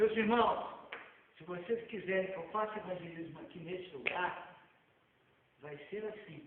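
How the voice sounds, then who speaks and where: A man with a high-pitched voice speaks with long, frequent pauses, ordinary pitch variation and big swings in loudness, over noticeable background noise and audible room echo. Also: fairly slow pace. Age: 70s. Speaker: evangelist preacher. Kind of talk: sermon.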